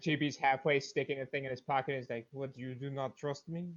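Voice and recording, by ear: Here a man talks fast at a medium pitch. His voice has little pitch movement.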